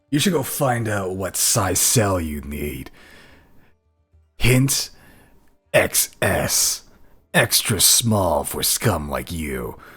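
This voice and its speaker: Putting on a character voice, a man speaks at a very slow pace in a fairly low pitch, leaving long, frequent pauses. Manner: mocking, condescending.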